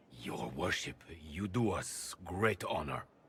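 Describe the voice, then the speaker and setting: Putting on a character voice, a man speaks at a very deep, low pitch and a fairly slow pace, his intonation lively. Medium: short film. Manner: formal, courteous.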